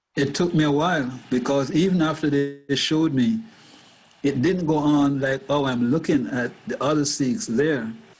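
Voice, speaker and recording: With music in the background and audible room echo, a man speaks with ordinary pitch variation. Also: fairly high pitch for a man, moderate pace. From Jamaica. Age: 70s. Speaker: Sikh convert sharing life story. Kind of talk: interview.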